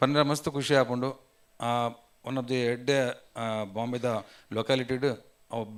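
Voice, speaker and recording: A man speaks with a coastal Karnataka accent at a medium pitch with fairly even intonation. The recording is very clean, with a silent background. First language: Tulu (speaking Kannada). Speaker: community association president. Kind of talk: formal speech at business event. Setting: hotel event hall with audience.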